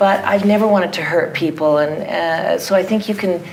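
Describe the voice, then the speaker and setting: A woman with a Canadian accent speaks at a medium pitch with lively intonation, along with audible room echo and noticeable background noise. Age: 60s. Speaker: theatre artist. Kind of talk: audience Q&A.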